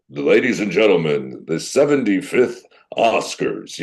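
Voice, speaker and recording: At a fairly slow pace, a man performs a put-on character voice. His pitch stays medium. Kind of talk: formal, theatrical. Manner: booming, showy announcer delivery.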